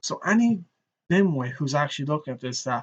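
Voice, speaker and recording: Speaking at a moderate pace in a rural Irish accent, a man with a fairly high pitch uses lively intonation. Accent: Irish, rural bogger tone. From Ireland. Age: 30s. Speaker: streamer. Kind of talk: live stream commentary. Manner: animated.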